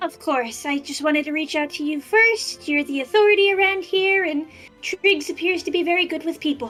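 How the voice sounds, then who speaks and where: Over faint music in the background, a woman does a put-on, squeaky character voice at an extremely high pitch, talking at a fairly quick pace with ordinary pitch variation. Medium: actual play. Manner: earnest, hurried.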